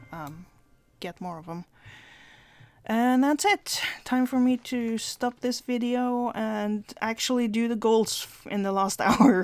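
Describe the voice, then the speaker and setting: A woman with a non-native accent speaks at a fairly high pitch, with ordinary pitch variation. Her loudness swings widely, and long pauses come often. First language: not English. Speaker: gaming video creator. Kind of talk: gameplay commentary. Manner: hesitant, many fillers.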